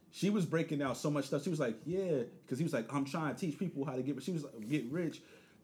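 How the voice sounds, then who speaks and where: At a very fast pace with hardly any pauses, a man speaks in a somewhat breathy, fairly high voice with ordinary pitch variation. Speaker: podcast host. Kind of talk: casual banter.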